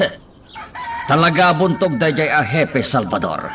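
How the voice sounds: A man performs a put-on character voice with a bright, sharp tone. He goes fairly slowly, his pitch swinging a lot. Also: fairly high pitch for a man.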